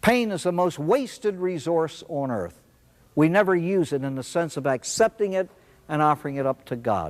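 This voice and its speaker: At a moderate pace, a man speaks in an ordinary speaking voice, fairly high in pitch, with lively intonation. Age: 60s. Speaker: spiritual speaker at an AA meeting. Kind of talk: talk to an audience.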